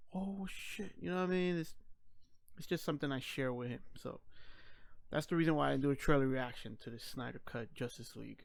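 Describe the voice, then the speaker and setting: A man with a plain, everyday voice talks at a fairly quick pace, with lively intonation and a fairly high pitch, on a very clean recording with a silent background. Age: 30s. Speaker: YouTuber discussing comic book movies. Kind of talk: casual monologue vlog.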